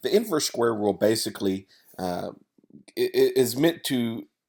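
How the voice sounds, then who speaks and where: Here a man with a Tennessee accent speaks at medium pitch and a fairly slow pace. The recording is very clean, with a silent background. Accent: Southern US (Tennessee). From US South, Tennessee. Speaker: wedding photographer. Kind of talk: tutorial. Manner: casual, many fillers.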